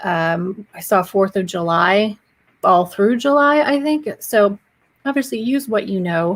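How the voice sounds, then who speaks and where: A woman with an unremarkable speaking voice and a medium pitch talks at a fairly slow pace with lively intonation. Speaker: social media marketing educator. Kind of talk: live stream tutorial. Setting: solo live stream. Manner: casual, chatty.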